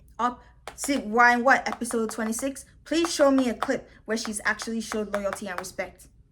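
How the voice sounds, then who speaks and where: The tone is animated, with ordinary pitch variation, at a moderate pace. Noticeable background noise runs underneath. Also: woman. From Nigeria. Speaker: reality TV commentator (YouTuber). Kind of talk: casual commentary monologue. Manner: loud.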